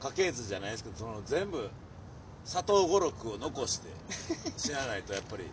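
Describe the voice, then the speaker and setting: With a Kansai accent, a man speaks at a fairly quick pace and medium pitch, with very wide pitch swings and long, frequent pauses. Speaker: comedian. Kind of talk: casual chat. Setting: outdoors in a park.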